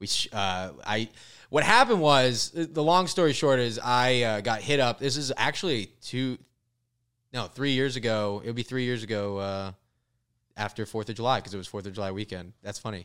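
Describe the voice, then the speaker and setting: A man with an American accent speaks in an animated tone at a moderate pace, his medium pitch rising and falling in ordinary ways, on a very clean recording with a silent background. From Florida. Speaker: comedian. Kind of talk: casual chat.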